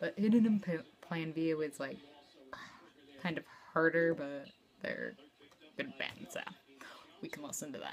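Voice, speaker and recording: With light background noise, a woman with an American accent speaks at a fairly low pitch and a fairly slow pace, using lively intonation, big swings in loudness and long, frequent pauses. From New Jersey. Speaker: vlogger. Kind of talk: casual vlog monologue. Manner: hesitant, many fillers. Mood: casual, slightly self-deprecating. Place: home room. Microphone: phone near.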